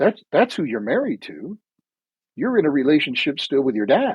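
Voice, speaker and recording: The man's voice sits at a fairly high pitch with very wide pitch swings. His pace is moderate. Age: 60s. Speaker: life coach. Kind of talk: podcast interview.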